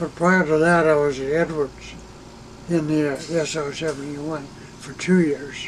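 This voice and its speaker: Noticeable background noise sits behind a man with a fairly high pitch who talks at a moderate pace in a flat, monotone intonation. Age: 80s+. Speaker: retired air force reconnaissance officer. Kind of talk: interview. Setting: in an RV. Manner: halting.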